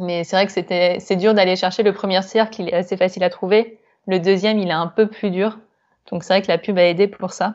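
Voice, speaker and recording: Her intonation is monotone and flat. The woman speaks at a medium pitch and a fairly quick pace. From France. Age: 20s. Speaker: yoga teacher and graphic designer. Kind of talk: interview. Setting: remote call.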